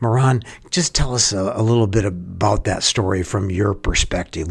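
Against noticeable background noise, a man with an American accent speaks at a moderate pace and a fairly low pitch. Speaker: school head and podcast host. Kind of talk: podcast interview, scripted-sounding intro.

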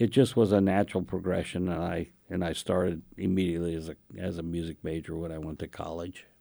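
Heard in a very clean recording with a silent background, a man with a dark, mellow tone speaks at a moderate pace. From India. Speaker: orchestra conductor and music professor. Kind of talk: interview. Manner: halting.

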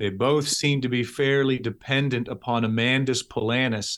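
Very clean recording, silent background, and a man with a Canadian accent at a medium pitch. He has an ordinary speaking voice with ordinary pitch variation. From Canada, Toronto, Ontario. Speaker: pastor and theology professor. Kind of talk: interview.

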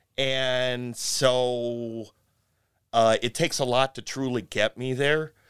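A man with a Midwestern American accent at a medium pitch, with monotone, flat intonation and a very slow pace, on a very clean recording with a silent background and a dry, close sound with no echo. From US Midwest, Cleveland. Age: 50s. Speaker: musician. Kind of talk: casual chat. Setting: studio.

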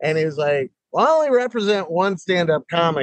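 An unremarkable speaking voice from a man, fairly quick, with ordinary pitch variation and a dry, close sound with no echo. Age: 50s. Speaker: stand-up comedian. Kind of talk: casual chat. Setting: video call.

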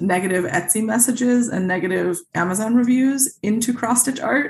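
Somewhat breathy, a woman with an American accent speaks at a fairly slow pace with lively intonation. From Chicago suburbs, Illinois. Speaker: cross-stitch designer and author. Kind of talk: interview.

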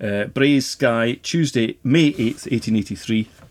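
A man in a Highland Scottish accent, fairly slow, with ordinary pitch variation. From Scottish Highlands and Islands (Lewis, then Skye). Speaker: Gaelic lecturer and bookseller. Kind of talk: casual interview chat. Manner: halting.

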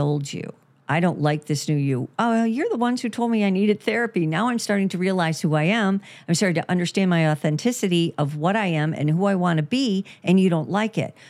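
A woman with a normal speaking voice, a fairly low pitch and lively intonation. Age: 60s. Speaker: therapist and podcast host. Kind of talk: casual chat.

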